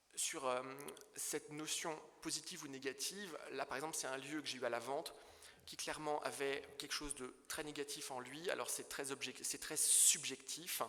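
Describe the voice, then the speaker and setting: At a moderate pace, a man with a fairly high pitch keeps his intonation fairly even against noticeable background noise. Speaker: property dealer in historic buildings. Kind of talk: illustrated conference talk. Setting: conference hall with audience. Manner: halting, with stumbles and fillers.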